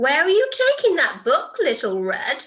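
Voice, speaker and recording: Doing a put-on character voice, a woman speaks gruffly at an extremely high pitch and a moderate pace. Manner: menacing, gruff.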